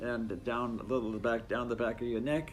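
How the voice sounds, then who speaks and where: A man's medium-pitched voice with audible room echo and music in the background. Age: 80s+. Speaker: retired scientist sharing a hair care tip. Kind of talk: casual instructional talk to camera. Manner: halting, many fillers.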